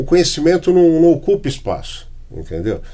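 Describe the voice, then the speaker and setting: A somewhat breathy man. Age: 60s. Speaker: podcast host. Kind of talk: casual chat. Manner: halting.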